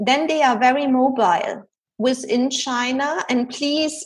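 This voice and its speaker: A woman with a German accent, her pitch high, at a fairly slow pace. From Germany. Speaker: executive coach and researcher. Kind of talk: interview.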